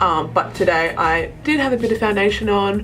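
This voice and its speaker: A woman speaks with music in the background. Her voice carries audible room echo. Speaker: makeup youtuber. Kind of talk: tutorial. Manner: fast; casual, chatty.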